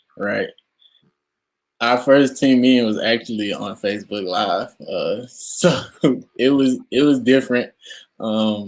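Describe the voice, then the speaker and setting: Long, frequent pauses break up this man's speech. His pace is fairly slow. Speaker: college football player. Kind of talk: interview. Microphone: poor sound quality from technical difficulties.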